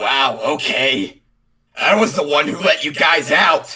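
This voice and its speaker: In a raspy, put-on character voice at a middle pitch, the speaker moves at a fairly slow pace. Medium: audio drama. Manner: laid-back, sarcastic.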